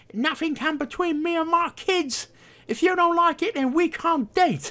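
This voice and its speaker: A man puts on a character voice with an extremely high pitch, speaking at a moderate pace. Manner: sassy, mocking.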